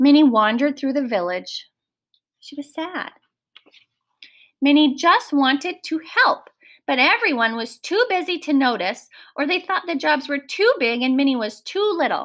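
Big pitch swings mark this woman's high voice. She speaks fairly slowly with a fairly bright tone.

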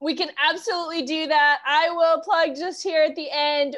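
A woman talks at a high pitch and a fairly slow pace. The background is quiet. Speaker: bookshop event host. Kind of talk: event introduction. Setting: video call. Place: home room. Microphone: earbuds.

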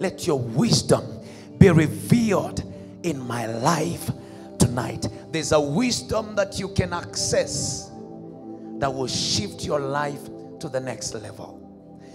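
Music plays behind a man who speaks at a very slow pace, his pitch swinging very widely between long, frequent pauses. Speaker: minister leading prayer. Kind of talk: sermon. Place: church. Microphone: handheld.

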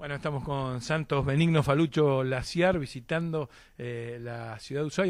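At a moderate pace and in an Argentine accent, the speaker uses ordinary pitch variation. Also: man. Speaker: sports interviewer. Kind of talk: interview. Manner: hesitant, many fillers.

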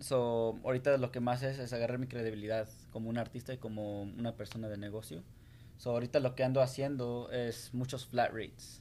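A man speaks at a fairly quick pace in a dark, mellow tone with monotone, flat intonation over light background noise. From Salt Lake City, Utah (born in Guanajuato, Mexico). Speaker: graffiti artist and business owner. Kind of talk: interview. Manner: hesitant, many fillers. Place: studio. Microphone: studio mic.

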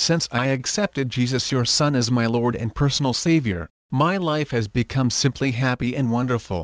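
A man's ordinary speaking voice at a medium pitch, with ordinary pitch variation, a moderate pace, a quiet background and a dry, close sound with no echo. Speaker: prayer leader. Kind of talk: fervent guided prayer, earnest devotional address to God. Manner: earnest, heartfelt, reverent.

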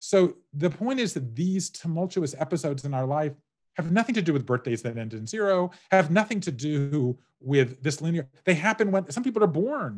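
In an American accent, a man speaks at a moderate pace with very wide pitch swings against a quiet background. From US South. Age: 50s. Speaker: author. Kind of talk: interview. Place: home room. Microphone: webcam.

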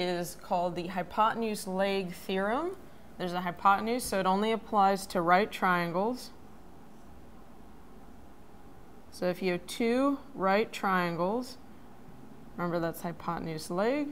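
The speaker moves at a fairly slow pace with long, frequent pauses and ordinary pitch variation over light background noise. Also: woman. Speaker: math educator. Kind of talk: tutorial. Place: studio.

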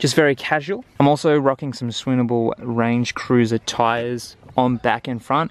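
With an Australian accent, a man speaks at a moderate pace with hardly any pauses and fairly even intonation, in a dry sound with no echo. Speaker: travel vlogger. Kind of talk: gear tutorial. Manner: casual. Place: garden. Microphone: phone near.

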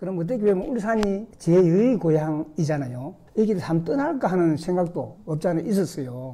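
A man's high, dark, mellow voice with lively intonation, at a moderate pace with hardly any pauses. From South Korea, Gyeongsang region (Jinju, lived in Ulsan 45 years); Gyeongsang, South Korea. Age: 60s. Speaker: retired civil servant, senior school student. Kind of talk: recorded interview. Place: studio. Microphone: studio mic.

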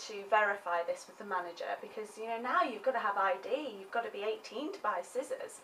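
With an English accent, a woman speaks at a fairly quick pace and a fairly high pitch. Her pitch varies in an ordinary way, and light background noise is present. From England. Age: 20s. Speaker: vlogger. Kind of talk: comedic monologue. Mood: sarcastic, playful complaining. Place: home room. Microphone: webcam.

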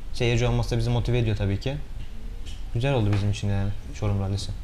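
Light background noise sits behind a man talking at a very fast pace. His intonation stays fairly even. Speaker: rally driver. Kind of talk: interview. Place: studio.

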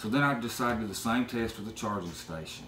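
A man's voice with light background noise and audible room echo. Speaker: drone hobbyist; product reviewer. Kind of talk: product review talk to camera. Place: home room. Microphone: camera far.

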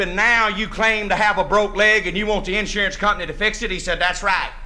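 A raised, projected voice at a moderate pace with fairly even intonation. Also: man. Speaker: storyteller comedian. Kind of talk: comic storytelling monologue. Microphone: old recording.

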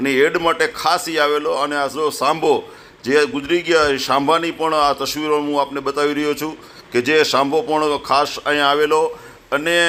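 A man's fairly high-pitched voice with monotone, flat intonation. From Gujarat, Saurashtra (Dhrangadhra, raised in Wankaner). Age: 60s. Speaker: wildlife and culture photographer. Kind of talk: interview, life story.

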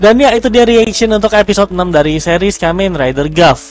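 A man's voice sounds dry with no echo as faint music plays in the background. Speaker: reaction video creator. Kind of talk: casual review commentary. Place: home room. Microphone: headset.

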